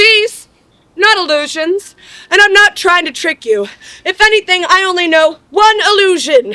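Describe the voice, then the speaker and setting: A woman's put-on character voice, bubbly in tone and extremely high in pitch, at a moderate pace. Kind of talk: live comic crowd work. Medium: stage play. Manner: bubbly, joking.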